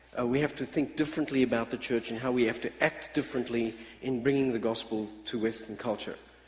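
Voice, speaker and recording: A man talks at a very fast pace in a medium pitch with fairly even intonation. Noticeable background noise is present. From Australia. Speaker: missional church speaker. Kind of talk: conference talk. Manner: hesitant fillers, many uhs.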